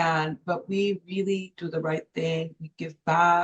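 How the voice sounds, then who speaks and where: With a Spanish accent, a woman speaks at a fairly low pitch, somewhat breathy, and with fairly even intonation. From Los Angeles, Mexican-born. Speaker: former journalism professor and business consultant. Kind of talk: interview.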